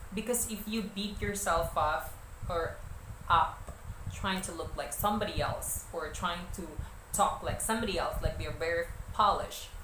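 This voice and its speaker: A woman with a Filipino accent talks at a moderate pace with long, frequent pauses, amid audible room echo and noticeable background noise. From Philippines. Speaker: vlogger and model. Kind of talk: casual tips vlog. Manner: hesitant, many fillers.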